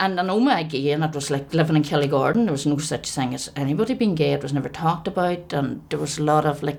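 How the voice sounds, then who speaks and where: Very fast and with hardly any pauses, a woman with a Northern Irish accent speaks at a very deep, low pitch with ordinary pitch variation over noticeable background noise. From Northern Ireland, County Tyrone. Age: 50s. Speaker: LGBT activist interviewee. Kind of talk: documentary interview.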